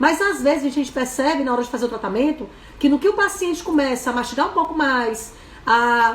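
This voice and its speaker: A woman with a high pitch speaks fairly quickly in an animated tone and lively intonation, with audible room echo around her. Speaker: dentist and course instructor. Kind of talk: live webinar lecture. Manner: very fast.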